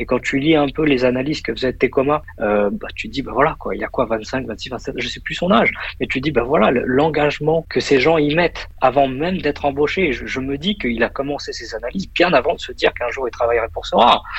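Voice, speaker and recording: A man speaks at a fairly quick pace with hardly any pauses. His voice is fairly high-pitched and somewhat breathy, with ordinary pitch variation. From Paris region, France. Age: 30s. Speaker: investor and finance professional. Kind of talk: casual interview. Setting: WhatsApp call from office.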